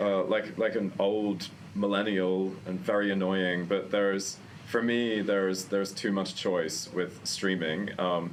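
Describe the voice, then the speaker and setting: In a room with audible echo, a man speaks fairly slowly at a fairly low pitch, with flat, monotone intonation and very even loudness. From Australia, Queensland. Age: 30s. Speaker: journalist and film event host. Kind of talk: casual chat. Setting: arthouse cinema.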